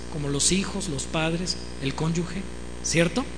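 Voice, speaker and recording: An animated tone of voice. Noticeable noise sits in the background. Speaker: preacher and musician. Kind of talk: sermon.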